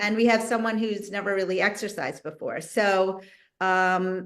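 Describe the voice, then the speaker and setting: A woman has a plain, everyday voice. She speaks at medium pitch and a moderate pace. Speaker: physical therapist. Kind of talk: exercise instruction on video call. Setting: video call.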